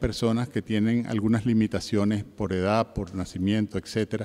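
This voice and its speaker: A man with a Caribbean accent on a very clean recording with a silent background. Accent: Caribbean Spanish, lasting. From Venezuela. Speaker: heritage and museum expert, panelist. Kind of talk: conference talk. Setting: conference panel with audience. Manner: formal, with filler 'eh' hesitations.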